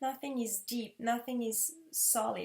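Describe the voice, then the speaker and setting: Speaking fairly slowly with a French accent, a woman keeps a fairly high pitch and fairly even intonation. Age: 30s. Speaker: vlogger. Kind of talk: personal testimony. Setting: living room.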